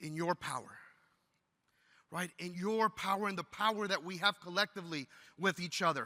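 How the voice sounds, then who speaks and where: At a moderate pace, the bright, sharp, animated voice breaks with long, frequent pauses in a dry, close sound with no echo. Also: man, high pitch for a man. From Texas, El Paso border region. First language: Spanish. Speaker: teacher and union leader. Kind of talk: keynote speech. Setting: stage with audience.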